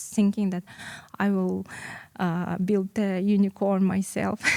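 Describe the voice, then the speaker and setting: Dark, mellow tone and a monotone, flat delivery at a moderate pace, broken by long, frequent pauses, in a dry, close sound with no echo. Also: woman. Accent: Russian. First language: Russian. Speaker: entrepreneur. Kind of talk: interview. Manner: halting.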